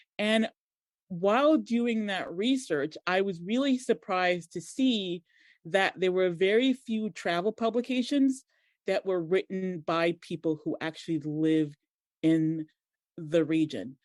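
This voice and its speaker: In a dry, close recording with no echo and a quiet background, a woman with an American accent talks at a fairly slow pace and a medium pitch, using lively intonation. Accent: American twang. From Montserrat, then raised in US (Boston). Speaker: digital marketer and blogger. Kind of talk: podcast interview.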